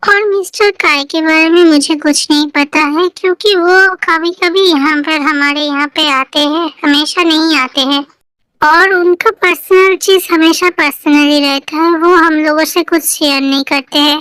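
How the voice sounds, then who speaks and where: A woman uses a put-on character voice at an extremely high pitch, with fairly even intonation and a moderate pace. She barely pauses, and the sound is dry and close with no echo. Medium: fan dub. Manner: deferential.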